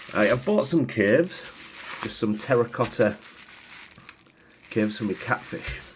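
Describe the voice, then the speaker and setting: Long, frequent pauses at a moderate pace, with noticeable background noise. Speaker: aquarium hobbyist vlogger. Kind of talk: casual DIY tutorial.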